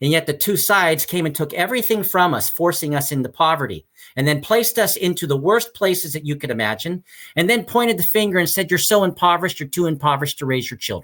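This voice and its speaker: The speech runs at a very fast pace. Its intonation is lively. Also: man, high pitch for a man. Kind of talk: interview. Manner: loud; passionate, halting repetitions.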